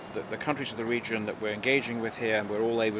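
A man with a medium pitch talks while noticeable background noise runs behind him. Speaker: diplomat. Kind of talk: interview. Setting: at a conference.

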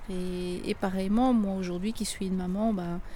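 A woman of medium pitch speaks in a dark, mellow tone at a fairly slow pace. Audible room echo can be heard. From Belgium. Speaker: miner's daughter. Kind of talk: testimony. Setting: outdoors.

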